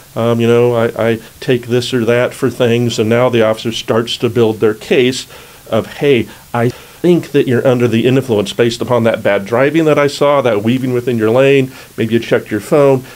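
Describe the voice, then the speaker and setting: At a moderate pace, a man mumbles in a medium pitch, with fairly even intonation and very even loudness. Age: old. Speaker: criminal defense attorney. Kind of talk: legal explainer video. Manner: mumbles a fair amount; casual, conversational.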